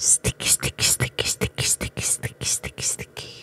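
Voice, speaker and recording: The speaker is a woman. Her words come out in a whisper. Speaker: ASMR artist; ASMR creator. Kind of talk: ASMR trigger word repetition. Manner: whispered. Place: home room. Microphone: studio mic.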